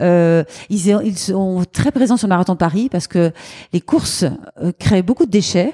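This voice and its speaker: A dark, mellow tone with ordinary pitch variation comes through in a dry, close sound with no echo, in a very clean recording with a silent background. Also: woman, medium pitch for a woman, moderate pace. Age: 50s. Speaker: charity founder. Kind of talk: interview. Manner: lively.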